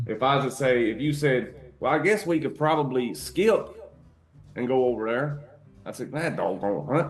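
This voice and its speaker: With a Kentucky accent, a man speaks at a moderate pace in a medium pitch and lively intonation. Long, frequent pauses break up his speech, and audible room echo is present. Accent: Kentucky Southern. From US South, Eastern Kentucky. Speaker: podcast co-host. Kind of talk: casual chat.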